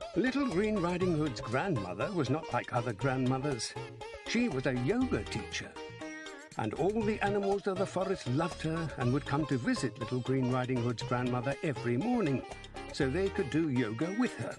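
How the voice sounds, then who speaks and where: Music in the background, a Scottish accent, a moderate pace, very wide pitch swings and very even loudness. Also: man, fairly high pitch for a man. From Scotland. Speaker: actor, narrator. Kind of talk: children's story narration.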